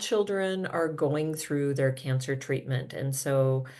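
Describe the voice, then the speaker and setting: A woman with an American accent speaks at a very deep, low pitch, with audible room echo. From US Midwest, Minnesota. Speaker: physical therapy professor and researcher. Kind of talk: conference presentation. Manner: hesitant, many filler ums.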